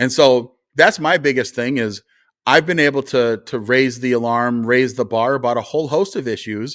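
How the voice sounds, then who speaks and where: A man's medium-pitched voice with a North Dakota accent, ordinary pitch variation, and a very clean recording with a silent background. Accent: sounds like North Dakota. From rural North Dakota. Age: 40s. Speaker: conservative commentator and party official. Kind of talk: interview conversation.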